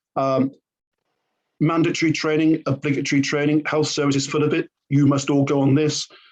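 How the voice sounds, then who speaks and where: A man's fairly high voice, fairly quick in pace, with monotone, flat intonation. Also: very even loudness. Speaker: learning and development trainer. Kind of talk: conversational podcast discussion. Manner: fast.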